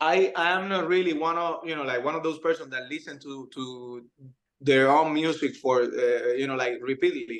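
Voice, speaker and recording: This speaker has a Cuban accent and ordinary pitch variation. The pace is moderate. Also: man, fairly high pitch for a man. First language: Spanish. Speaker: musician. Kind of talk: interview answer. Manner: hesitant.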